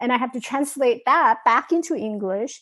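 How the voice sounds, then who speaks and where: Here a woman talks at a moderate pace. Behind her is a quiet background. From Taiwan, moved to New York at 15. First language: Mandarin Chinese. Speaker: mindset coach and author. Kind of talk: interview. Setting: video call. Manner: halting, frequent false starts.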